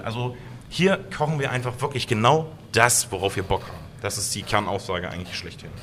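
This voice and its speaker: At a fairly quick pace, a man speaks with medium pitch and ordinary pitch variation in an unremarkable speaking voice. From Saxony-Anhalt, Harz region (Blankenburg). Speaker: chef and restaurant owner. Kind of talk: interview.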